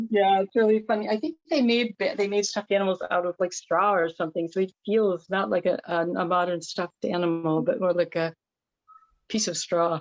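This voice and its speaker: A woman with a plain, everyday voice talks at a medium pitch and a fairly quick pace, with ordinary pitch variation. The sound is dry and close, with no echo. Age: 60s. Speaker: workshop participant. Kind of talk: casual chat.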